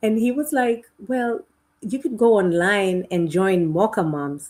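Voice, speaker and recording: A woman speaks with a Kenyan accent. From Kenya and Uganda. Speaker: educator. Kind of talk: podcast interview. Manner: halting, with frequent repetitions.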